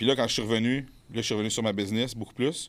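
A man with a plain, everyday voice speaks at a fairly low pitch on a very clean recording with a silent background. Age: 30s. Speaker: bodybuilder and fitness coach. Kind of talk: casual chat. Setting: studio.

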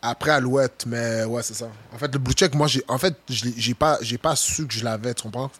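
With a medium pitch and ordinary pitch variation, a man speaks at a moderate pace. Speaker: football player. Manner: intense.

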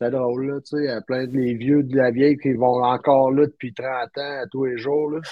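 With hardly any pauses, a man at medium pitch speaks at a moderate pace in a flat, monotone way. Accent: Quebec. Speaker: podcast guest recounting a trip. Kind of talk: casual chat.

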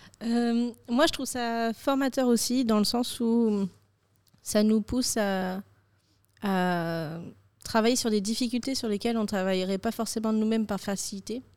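Speaking at a fairly slow pace with long, frequent pauses, a woman shows ordinary pitch variation on a very clean recording with a silent background. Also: fairly high pitch for a woman. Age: 20s. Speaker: communications student. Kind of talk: casual round-table chat.

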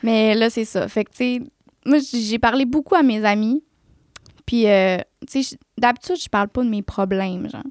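Her fairly high voice moves at a moderate pace with ordinary pitch variation and long, frequent pauses. The woman's sound is dry and close, with no echo. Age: 20s. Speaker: nail technician and esthetician. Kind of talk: testimony.

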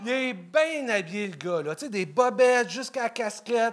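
A man speaks very slowly with lively intonation over noticeable background noise. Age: 40s. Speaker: amateur comedian. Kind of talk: stand-up.

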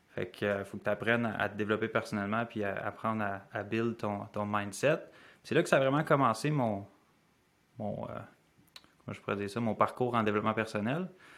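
A man with a Quebec accent talks at a moderate pace. His fairly low voice shows ordinary pitch variation. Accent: Québécois French. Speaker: life habits coach. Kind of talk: podcast interview.

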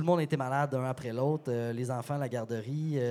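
Noticeable background noise behind a man's voice, its pitch variation ordinary. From Quebec, Sherbrooke. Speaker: beer store partner and sommelier. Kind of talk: casual chat.

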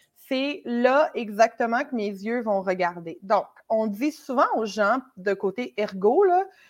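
In a Quebec accent, a woman speaks at a very slow pace. Her pitch is fairly high and her intonation lively. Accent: Québécois French. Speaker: conversion optimization consultant. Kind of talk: casual chat.

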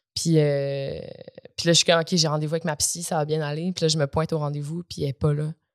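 A woman with a very deep, low pitch speaks fairly quickly in a flat monotone, the sound dry and close with no echo. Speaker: actress and comedian. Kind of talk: casual chat. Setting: studio.

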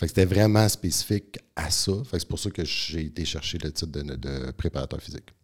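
A man with a very deep, low pitch and vocal fry is speaking. His delivery is fairly quick, lively in intonation, with hardly any pauses. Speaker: naturopath and strength coach. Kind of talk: podcast interview.

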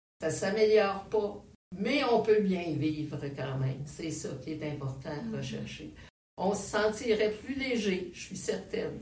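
Amid audible room echo, a woman with a fairly low pitch speaks with lively intonation and big swings in loudness. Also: fairly slow pace. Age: 70s. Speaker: retired educator living with Alzheimer's. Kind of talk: interview. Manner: halting.

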